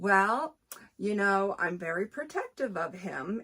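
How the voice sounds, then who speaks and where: A woman's voice comes across bright, sharp and animated. Her intonation is lively. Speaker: book reviewer. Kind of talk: casual book review vlog.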